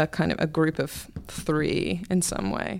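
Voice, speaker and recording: Speaking at a fairly slow pace, a woman uses a very deep, low pitch with vocal fry. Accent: English. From England. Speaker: books columnist. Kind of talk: casual chat.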